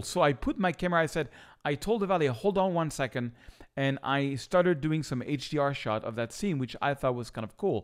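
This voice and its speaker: A man with a French accent, lively intonation and an animated tone at a fairly quick pace, in a very clean recording with a silent background. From France, Paris. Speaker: photographer. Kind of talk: tutorial; vlog storytelling.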